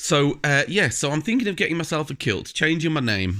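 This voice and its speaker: Vocal fry runs through a man's fairly high, bright, sharp voice. He talks at a very fast pace on a very clean recording with a silent background. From South Yorkshire, England (Doncaster). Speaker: video blogger. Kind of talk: casual video blog monologue. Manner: hesitant, many fillers and repeats.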